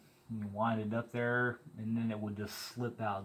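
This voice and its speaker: Over noticeable background noise, a man with a Missouri accent speaks at a fairly slow pace and medium pitch in a relaxed tone. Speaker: DIY mechanic vlogger. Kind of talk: casual vlog narration. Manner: relaxed, conversational.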